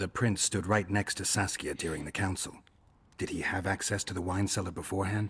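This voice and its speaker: Putting on a character voice, a man speaks at a fairly quick pace with a very deep, low pitch and monotone, flat intonation. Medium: video game. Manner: dry, laconic.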